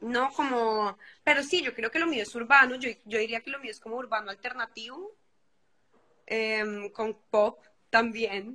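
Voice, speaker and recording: A woman speaks at a fairly slow pace in a fairly high pitch, her bright, sharp tone showing ordinary pitch variation and big swings in loudness. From Colombia, Bogotá. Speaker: singer. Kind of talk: interview.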